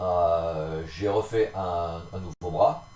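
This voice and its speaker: Somewhat breathy, a man speaks with a very deep, low pitch. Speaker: scale model builder. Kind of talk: casual hobby tutorial narration. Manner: hesitant, many fillers.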